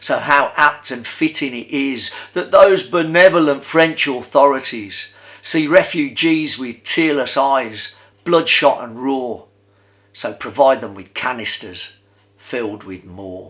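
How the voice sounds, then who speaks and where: In a very clean recording with a silent background, a man with an unremarkable speaking voice and fairly high pitch talks at a fairly slow pace, using lively intonation and big swings in loudness. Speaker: performance poet. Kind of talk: poetry reading.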